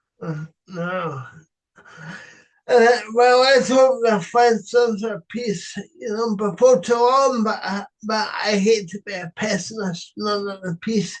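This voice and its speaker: Very slowly and at a high pitch, a man with a Scottish accent speaks with ordinary pitch variation and big swings in loudness. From Scotland, East Lothian. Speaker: podcast interviewer. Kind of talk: political interview. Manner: halting, filler words.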